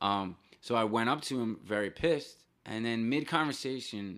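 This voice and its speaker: A man with a New Jersey accent speaks at a fairly low pitch and a moderate pace, his intonation lively. The recording is very clean, with a silent background. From northern New Jersey. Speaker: punk musician. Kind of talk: casual chat.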